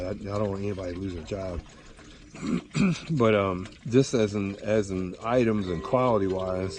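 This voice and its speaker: Fairly low male voice with ordinary pitch variation, long and frequent pauses, and noticeable background noise. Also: moderate pace. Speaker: fly fisherman. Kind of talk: casual talk to camera.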